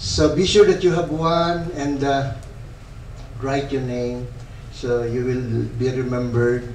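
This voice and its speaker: A man speaks very slowly, with long, frequent pauses and ordinary pitch variation. Audible room echo and light background noise surround him. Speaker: priest leading a retreat. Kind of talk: retreat teaching talk. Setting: church hall retreat with audience. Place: church. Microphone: camera far.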